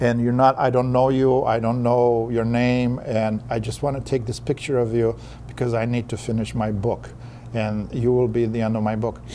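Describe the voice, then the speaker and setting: With a non-native accent, a man talks at a moderate pace in a medium pitch, his intonation monotone and flat. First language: not English. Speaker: author and poet. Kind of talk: interview. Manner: halting, repeats words.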